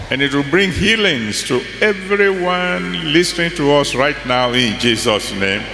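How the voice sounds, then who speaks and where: Against light background noise and audible room echo, a man talks at a very slow pace. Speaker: pastor leading prayer. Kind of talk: prayer. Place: hall. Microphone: handheld.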